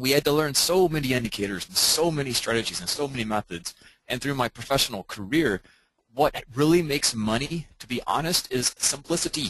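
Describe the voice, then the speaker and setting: Here a man with a plain, everyday voice talks at a fairly quick pace with a fairly high pitch and lively intonation, in a dry, close sound with no echo. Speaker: trading coach. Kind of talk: webinar lecture. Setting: online webinar.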